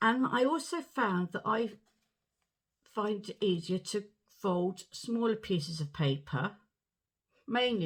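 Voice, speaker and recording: A woman speaks with a southern English accent, her voice somewhat breathy. Her intonation is lively, broken by long, frequent pauses. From southern England, Portsmouth. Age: 60s. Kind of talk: personal story to camera.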